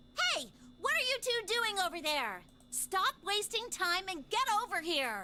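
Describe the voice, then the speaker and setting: A put-on character voice at an extremely high, shrill pitch moves at a moderate pace. Clear background noise is present. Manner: bossy, impatient.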